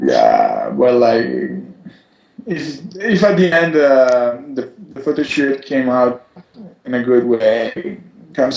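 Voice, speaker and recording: A man with an Italian accent, speaking at a fairly slow pace. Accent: Italian, noticeable. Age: 20s. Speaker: model. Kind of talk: interview. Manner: halting.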